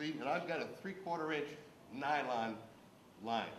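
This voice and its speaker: A man speaks at a moderate pace. Room echo is audible and background noise is noticeable. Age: 60s. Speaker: diver and boat owner speaking at town hall. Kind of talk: public comment at town hall meeting. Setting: town hall meeting.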